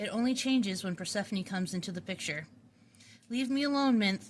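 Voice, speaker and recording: Moderate speed from a woman, backed by music. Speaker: author reading own book. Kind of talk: read story, audiobook narration.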